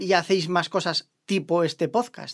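Speaking very slowly, a woman holds a medium pitch. The recording is very clean, its background silent. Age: 40s. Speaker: podcast co-host. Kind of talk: casual interview.

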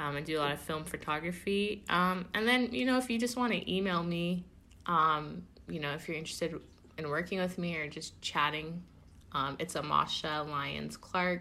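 Her tone bright and sharp, a woman speaks at a moderate pace in a fairly low pitch with ordinary pitch variation. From Oakland, California. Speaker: film production coordinator. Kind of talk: casual interview.

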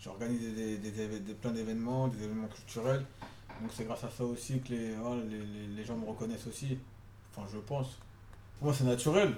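A dark, mellow tone at a moderate pace, with fairly even intonation and audible room echo. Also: man. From Paris suburbs, France. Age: 30s. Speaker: social worker. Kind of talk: interview. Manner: halting.

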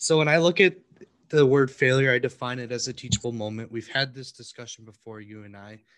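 Using a normal speaking voice, a man talks at a fairly quick pace and medium pitch, with ordinary pitch variation and big swings in loudness. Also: quiet background. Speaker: podcast co-host. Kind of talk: casual chat.

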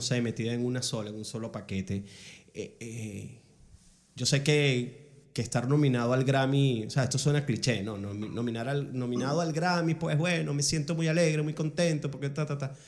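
Here a man with a normal speaking voice talks at a moderate pace, medium in pitch, with ordinary pitch variation. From Venezuela, Ciudad Bolívar. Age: 40s. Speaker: podcast host. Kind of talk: casual interview.

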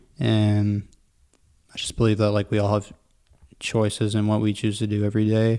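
Mumbling in a fairly low, dark, mellow tone, a man speaks at a moderate pace with monotone, flat intonation and long, frequent pauses. The recording is very clean, with a silent background. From Durham Region, Ontario, Canada. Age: 20s. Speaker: barista and pop-up coffee co-owner. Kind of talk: casual interview chat. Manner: mumbles, casual.

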